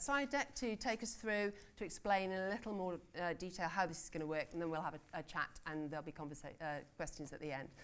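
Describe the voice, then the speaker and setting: Speaking with a British accent, a woman has a medium pitch. Her intonation is lively. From Britain. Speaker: conference panel chair; newspaper editor. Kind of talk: conference session introduction. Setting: conference room with audience.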